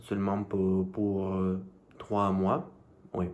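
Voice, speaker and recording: A man with a fairly low pitch speaks with audible room echo around him. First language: not French (speaking French). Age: 20s. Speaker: language learner vlogger. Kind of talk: casual vlog monologue. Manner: halting, many hesitations.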